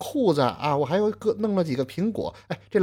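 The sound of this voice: The intonation is lively as someone reads aloud in an unforced reading voice.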